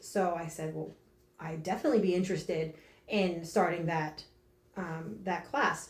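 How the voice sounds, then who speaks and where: A woman with an American accent talks at a moderate pace with ordinary pitch variation, and there is noticeable background noise. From northern New Jersey. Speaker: fitness coach. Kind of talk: interview. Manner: loud; energetic.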